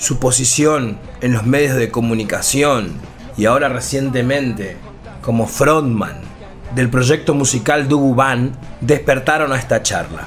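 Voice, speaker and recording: Music plays in the background as a man speaks at a fairly slow pace. His medium-pitched voice shows ordinary pitch variation. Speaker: radio host. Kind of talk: radio show introduction.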